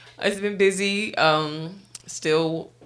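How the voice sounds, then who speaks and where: Audible room echo is present in this recording. The speaker is a woman. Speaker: podcast co-host. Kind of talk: casual chat.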